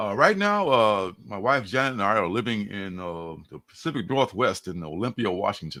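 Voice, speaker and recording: A man with an American accent and a bright, sharp, fairly low voice, ordinary pitch variation, big swings in loudness and a moderate pace, on a very clean recording with a silent background. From Chicago, Illinois (parents from Mississippi). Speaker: comic book creator. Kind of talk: casual interview chat. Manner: casual, many fillers.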